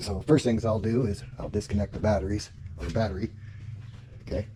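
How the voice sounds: With a dark, mellow tone, a man speaks at a fairly low pitch and a fairly quick pace, his intonation fairly even.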